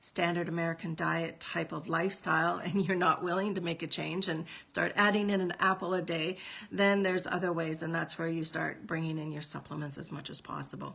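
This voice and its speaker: A fairly low-pitched woman with vocal fry and a Canadian accent, at a fairly quick pace, in a monotone, flat intonation. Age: 50s. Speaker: nutritional consultant. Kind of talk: casual educational vlog. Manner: halting, many fillers.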